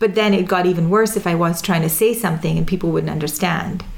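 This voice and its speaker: A woman with an American accent speaks at a fairly low pitch over noticeable background noise. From UAE (Dubai), Indian Gujarati family. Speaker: product manager and performer. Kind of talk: casual interview.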